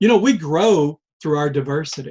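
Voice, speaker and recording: This man speaks with an American accent and high pitch. His intonation is lively and his pace fairly slow. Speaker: life-lessons vlogger. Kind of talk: reflective monologue. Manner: slow, deliberate pace; halting, with fillers and repeats.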